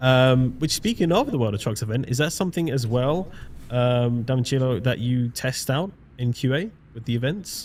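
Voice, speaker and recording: A man's medium-pitched voice with a British accent. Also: ordinary pitch variation, moderate pace. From Britain. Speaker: live stream host. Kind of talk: live stream interview.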